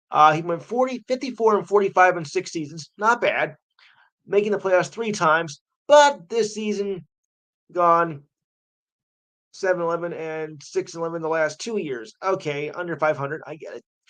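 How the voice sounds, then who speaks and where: A New Jersey accent against a quiet background. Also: moderate pace. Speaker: sports talk radio host. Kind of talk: live sports talk radio. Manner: casual, halting.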